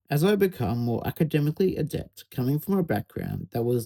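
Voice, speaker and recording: With an Australian accent, a man speaks in a fairly high, somewhat breathy voice with a dark, mellow tone and lively intonation, and the sound is dry and close with no echo. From Australia, Sunshine Coast, Queensland. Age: 20s. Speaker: university student. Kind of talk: scripted narration.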